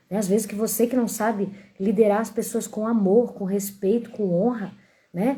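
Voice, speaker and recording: A dark, mellow tone carries a somewhat breathy quality. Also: woman. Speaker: Bible teacher. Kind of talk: Bible reading and commentary on a live stream. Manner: animated.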